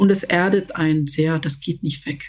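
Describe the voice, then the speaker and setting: Her voice is somewhat breathy, with fairly even intonation. The woman speaks at a fairly slow pace. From Zambia, rural village until age 10, then Berlin. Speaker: leadership expert and project management director. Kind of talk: interview. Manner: hesitant, with many fillers.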